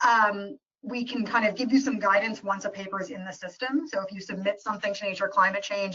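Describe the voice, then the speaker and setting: Her pitch medium and its variation ordinary, a woman talks at a fairly quick pace. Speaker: journal editor. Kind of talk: webinar presentation. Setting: live webinar. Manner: fast.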